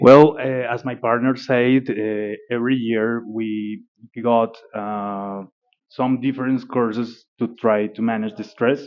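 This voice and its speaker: A man's very slow, monotone delivery in a Spanish accent, flat in intonation. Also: medium pitch for a man. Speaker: airline pilot. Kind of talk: interview. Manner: halting, many fillers.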